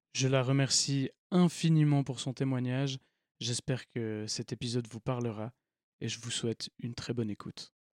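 Fairly even intonation, with a dry, close sound and no echo. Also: man, medium pitch for a man, moderate pace. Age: 20s. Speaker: podcast host. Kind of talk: podcast intro monologue. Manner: hesitant, many fillers.

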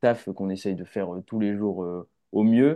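A man speaks at a fairly low pitch. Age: 20s. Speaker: film director. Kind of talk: casual chat.

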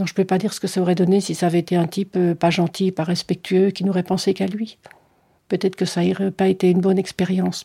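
Somewhat breathy and dark, mellow in tone, a woman speaks at a fairly quick pace in a monotone, flat intonation, on a very clean recording with a silent background. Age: 60s. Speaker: interviewee sharing personal experience. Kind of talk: testimony.

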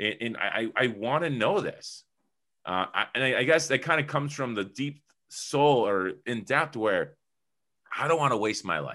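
The voice has vocal fry, a bright, sharp tone, and very wide pitch swings. It moves at a moderate pace over a quiet background. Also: man. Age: 30s. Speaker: entrepreneur and publisher. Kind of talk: interview.

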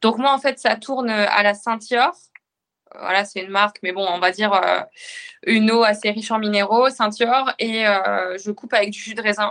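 Speaking at a moderate pace with fairly even intonation, the voice leaves long, frequent pauses. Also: woman, fairly high pitch for a woman. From northern France. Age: 20s. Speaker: firefighter officer and amateur triathlete. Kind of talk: casual interview.

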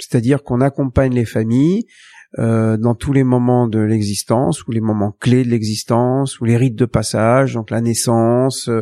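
A man's dark, mellow tone, fairly slow and with fairly even intonation, over a quiet background. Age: 60s. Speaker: rabbi. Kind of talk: interview. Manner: halting.

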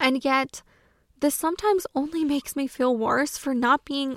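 A woman speaks at a moderate pace with an American accent and ordinary pitch variation. The recording is very clean with a silent background, and the sound is dry and close with no echo. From US South. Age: 20s. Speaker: podcast host. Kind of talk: solo podcast monologue.

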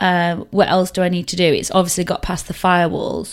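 This is a very clean recording with a silent background. A woman's speech moves fairly quickly. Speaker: podcast host. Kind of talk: true crime storytelling. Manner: relaxed, weary.

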